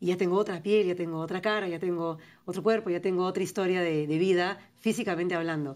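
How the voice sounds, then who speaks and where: A woman at medium pitch, with ordinary pitch variation and a moderate pace. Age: 40s. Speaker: writer and poet. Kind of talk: interview. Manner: articulate, fluent.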